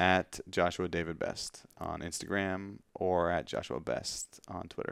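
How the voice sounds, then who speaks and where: A man with a Canadian accent and a very deep, low voice with vocal fry, fairly slow and fairly even, with hardly any pauses, on a very clean recording with a silent background. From Canada, Ontario north of Toronto. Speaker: publisher and church pastor. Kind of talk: casual interview. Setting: in person at publisher's office.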